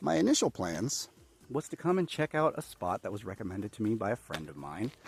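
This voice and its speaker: Fairly low in pitch but with very wide pitch swings, a man talks at a fairly quick pace in a dry, close sound with no echo. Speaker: voice actor. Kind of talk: casual talk to camera, travel vlog. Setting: outdoors.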